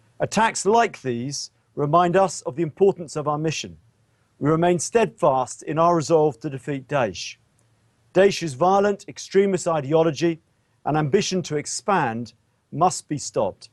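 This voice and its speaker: A man with a British accent speaks at a moderate pace in a fairly high pitch, with ordinary pitch variation and a dry, close sound with no echo. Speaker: military officer. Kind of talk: press briefing. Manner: formal.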